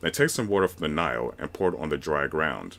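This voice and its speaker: This man speaks at a fairly quick pace. His voice carries vocal fry and ordinary pitch variation. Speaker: voice narrator. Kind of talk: reading aloud.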